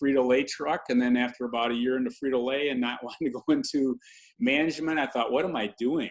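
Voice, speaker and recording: In an ordinary speaking voice, a man with an American accent talks at a fairly quick pace with fairly even intonation. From Michigan, US (Lansing). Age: 60s. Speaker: health and wellness speaker. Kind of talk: interview conversation.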